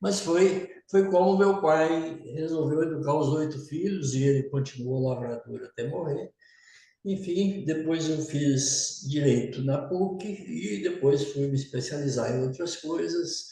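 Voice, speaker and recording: A man speaks at a very slow pace, his pitch fairly high. The room echo is audible. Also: ordinary pitch variation. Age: 70s. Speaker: business leader. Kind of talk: testimony.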